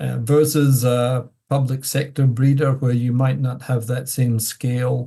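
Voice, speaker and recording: Somewhat breathy and dark, mellow in tone, a man's medium-pitched voice moves at a fairly slow pace. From Scotland. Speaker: plant breeding professor. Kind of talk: interview.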